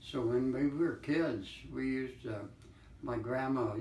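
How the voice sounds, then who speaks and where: A man speaks very slowly while noticeable noise fills the background. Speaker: Great Depression survivor. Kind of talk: interview answer. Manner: slow, hesitant.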